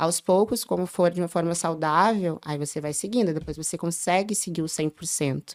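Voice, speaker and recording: Here is a woman with an unremarkable speaking voice, pitched fairly low, with ordinary pitch variation. Her pace is moderate and she hardly pauses at all. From southern Brazil, Porto Alegre. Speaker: early childhood educator. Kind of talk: podcast interview.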